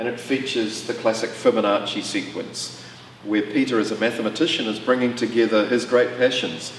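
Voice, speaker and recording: Fairly quick speech in a New Zealand accent, with fairly even intonation and noticeable background noise. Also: man, medium pitch for a man. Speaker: auction house presenter. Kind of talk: auction preview walkthrough presentation. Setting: gallery exhibition space.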